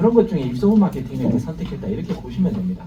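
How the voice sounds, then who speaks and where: A man's fairly high voice with very wide pitch swings, audible room echo and noticeable background noise. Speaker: company executive giving business presentation. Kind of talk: business presentation to live audience.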